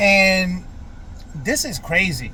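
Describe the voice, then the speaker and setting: A man with a high pitch speaks in an American accent. Room echo is audible. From Florida, US South. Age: 40s. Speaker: vlogger. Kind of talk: personal vlog monologue. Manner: hesitant, many fillers.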